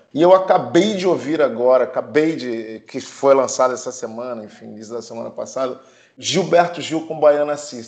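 A man speaks in a plain, everyday voice, pitched fairly high. His pace is moderate and his pitch varies in an ordinary way. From Brazil. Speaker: film producer. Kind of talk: casual chat.

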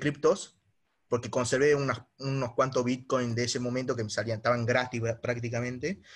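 A plain, everyday voice from a man at medium pitch, with fairly even intonation, on a very clean recording with a silent background. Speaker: young investor caller. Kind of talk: casual conversation.

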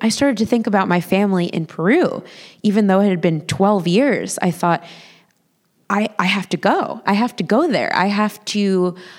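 A woman with a plain, everyday voice speaks at a medium pitch and moderate pace, her loudness very even. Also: ordinary pitch variation. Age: 30s. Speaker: storyteller. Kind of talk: live storytelling. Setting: stage with audience.

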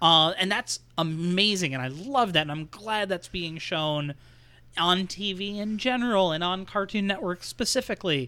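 The voice is raised and projected, with a bright, sharp tone and a moderate pace. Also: man, high pitch for a man, ordinary pitch variation. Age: 40s. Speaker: podcast co-host. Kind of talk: casual chat.

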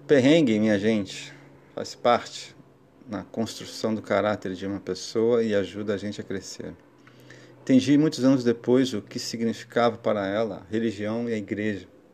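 A man speaks in a plain, everyday voice at a fairly low pitch. His pace is moderate and his intonation fairly even. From Brazil, Guarujá area (São Paulo coast). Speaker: podcast host. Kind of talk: personal storytelling monologue. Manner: warm, reflective.

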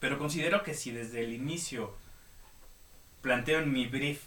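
Noticeable background noise and audible room echo surround a man speaking at a moderate pace with ordinary pitch variation. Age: 30s. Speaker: podcast host, illustrator and designer. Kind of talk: casual chat. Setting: live online radio studio.

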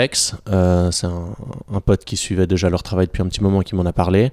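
The man's voice has a dark, mellow tone. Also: dry, close sound with no echo, very clean recording, silent background. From Switzerland, canton of Vaud. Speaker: gym founder and coach. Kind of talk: interview. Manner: halting, many hesitations.

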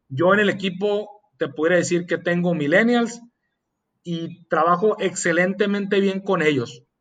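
Fairly slow, fairly even speech from a man with a high pitch. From Mexicali, Baja California, Mexico. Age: 30s. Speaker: entrepreneur. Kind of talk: casual interview chat. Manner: hesitant with frequent fillers.

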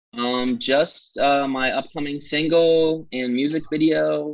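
At a fairly slow pace, a man with an American accent talks in a plain, everyday voice, fairly high in pitch with ordinary pitch variation. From Massachusetts, US. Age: 20s. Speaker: musician. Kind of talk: casual interview.

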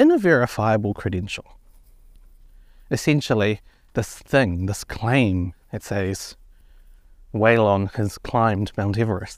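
The speaker, with a New Zealand accent, goes at a fairly slow pace with ordinary pitch variation in a very clean recording with a silent background. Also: man. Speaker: podcast host. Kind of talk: solo podcast explainer. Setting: outdoors, walking up a hill.

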